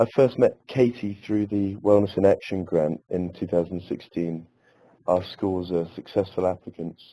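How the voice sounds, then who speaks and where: A man's very deep, low voice with an English accent, a dark, mellow tone, fairly even intonation and a moderate pace. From England. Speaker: elementary school teacher. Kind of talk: webinar presentation. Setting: webinar.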